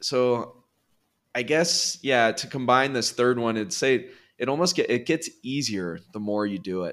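A man with a Californian accent speaks at a fairly slow pace and a medium pitch, his intonation lively. The recording is very clean, with a silent background. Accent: Californian American English. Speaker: real estate investor. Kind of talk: interview.

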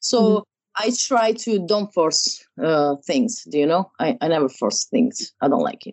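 A woman speaks with an Italian accent at a medium pitch and a fairly slow pace. Her pitch swings very widely, with vocal fry. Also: hardly any pauses. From Italy, Rome. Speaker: wedding photographer. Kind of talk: interview. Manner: halting.

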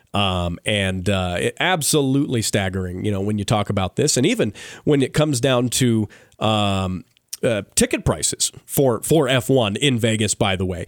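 In a very clean recording with a silent background, a man talks at a moderate pace in a fairly low pitch. His is an unremarkable speaking voice, with ordinary pitch variation. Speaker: radio host. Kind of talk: radio show banter. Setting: radio studio. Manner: upbeat.

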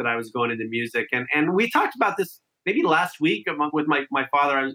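The speaker has an American accent and a bright, sharp tone, moving at a fairly quick pace. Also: man. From Southern California (Santa Clarita). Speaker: musician. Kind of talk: interview. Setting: video call.

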